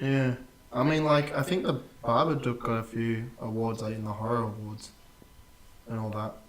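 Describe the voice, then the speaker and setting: With noticeable background noise and audible room echo, a man at medium pitch speaks at a moderate pace, his pitch varying in an ordinary way and his speech broken by long, frequent pauses. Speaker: podcast co-host. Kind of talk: casual chat. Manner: animated.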